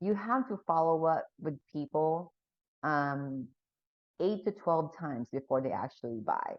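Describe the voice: At a fairly slow pace, a woman with a low pitch and lively intonation is recorded with a dry, close sound and no echo.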